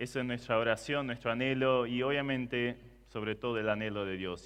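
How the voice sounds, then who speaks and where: The speaker is a man with a non-native accent and a medium pitch. He moves at a moderate pace with ordinary pitch variation. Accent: foreign, non-Argentine Spanish. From Germany. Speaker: preacher. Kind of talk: sermon.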